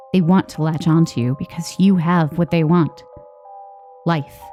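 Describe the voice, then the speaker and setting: Over music in the background, a woman with a very deep, low voice talks at a fairly slow pace with ordinary pitch variation. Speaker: horror story narrator. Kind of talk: horror story narration.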